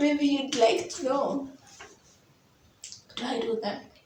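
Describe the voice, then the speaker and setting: The pace is moderate and the pitch varies in an ordinary way. Room echo is audible. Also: woman. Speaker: YouTuber. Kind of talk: casual vlog monologue.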